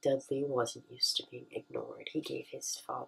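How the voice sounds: It's a natural reading voice.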